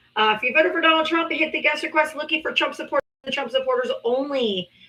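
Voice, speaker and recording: In a raised, projected voice, a woman speaks in an animated tone with ordinary pitch variation. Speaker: live-stream political debate host. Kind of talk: casual live-stream chat.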